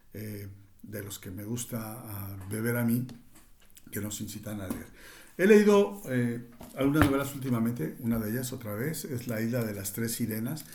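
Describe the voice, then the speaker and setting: A man speaks somewhat breathily at a moderate pace, with ordinary pitch variation and big swings in loudness. Audible room echo is present. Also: medium pitch for a man. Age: 60s. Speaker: cultural commentator. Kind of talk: reading aloud; reflective monologue. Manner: halting, with fillers.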